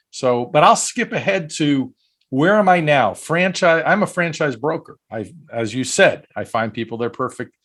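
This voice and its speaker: On a very clean recording with a silent background, a man talks at a moderate pace in a fairly high voice with lively intonation. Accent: Brooklyn. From US Northeast, Brooklyn, New York. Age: 50s. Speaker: franchise broker. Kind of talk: podcast interview.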